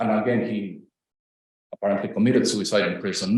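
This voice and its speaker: A man with a Spanish accent, vocal fry and very wide pitch swings, in audible room echo. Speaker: professor. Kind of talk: academic lecture.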